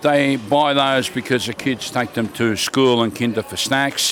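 A man with an Australian accent at a fairly slow pace, with noticeable background noise. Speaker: market vendor. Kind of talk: casual chat. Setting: outdoors at a market.

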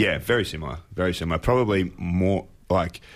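The speaker has an Australian accent. The pace is fairly quick. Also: man. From Apollo Bay, Victoria, Australia. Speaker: marine scientist. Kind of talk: casual interview.

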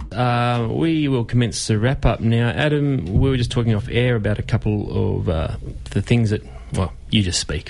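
A man with an Australian accent against noticeable background noise. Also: medium pitch for a man, ordinary pitch variation, moderate pace. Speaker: community radio host. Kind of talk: radio talk show. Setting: radio studio.

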